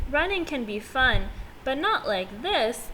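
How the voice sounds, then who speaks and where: Over clear background noise, a put-on character voice with a gentle tone speaks at a fairly slow pace. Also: woman, high pitch for a woman. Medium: read story. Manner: gentle, innocent.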